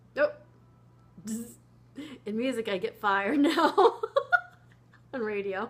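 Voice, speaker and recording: Amid noticeable background noise, a woman with a high pitch speaks very slowly in a relaxed, playful tone, with lively intonation and long, frequent pauses. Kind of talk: impromptu reading aloud from a science book with ad-libbed asides. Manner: relaxed, impromptu, playful, cuddly.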